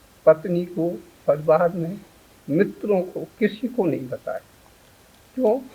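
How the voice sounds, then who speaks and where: A man speaks in a high pitch with a dark, mellow tone and ordinary pitch variation. His loudness swings widely, and he leaves long, frequent pauses. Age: 60s. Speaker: patient giving testimonial. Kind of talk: testimony.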